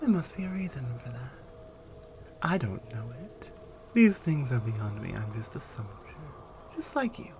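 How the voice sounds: A woman uses a put-on character voice with an extremely low pitch and a slightly mellow tone, making big pitch swings at a fairly slow pace with long, frequent pauses.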